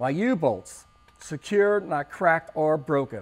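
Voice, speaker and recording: At a fairly slow pace, a man speaks. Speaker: truck driving instructor. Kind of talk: tutorial. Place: garage.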